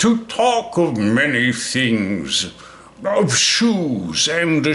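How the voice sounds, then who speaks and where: The speaker uses a put-on character voice. The tone is pompous. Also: man. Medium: read story. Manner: pompous, wheedling.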